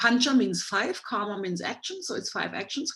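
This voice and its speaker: The tone is bright and sharp, with vocal fry. Pitch swings are very wide. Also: woman. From Germany. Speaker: Ayurveda doctor, guest lecturer. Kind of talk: lecture. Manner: fast.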